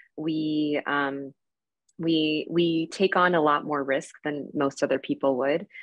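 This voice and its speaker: A woman speaks with a very deep, low pitch at a very slow pace. The background is quiet. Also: fairly even intonation. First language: Spanish. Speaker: emergency physician and researcher; panelist. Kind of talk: panel discussion. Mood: reflective, warm. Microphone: video call.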